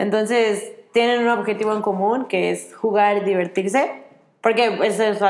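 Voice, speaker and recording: Against noticeable background noise, a woman with a Mexican accent speaks at a medium pitch with fairly even intonation. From Mexico. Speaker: children's activities worker on a cruise ship. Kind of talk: interview. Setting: outdoors.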